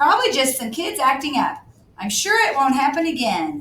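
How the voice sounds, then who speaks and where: A woman's put-on character voice, raspy and high-pitched, with very wide pitch swings at a moderate pace. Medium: read story. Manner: harsh, commanding.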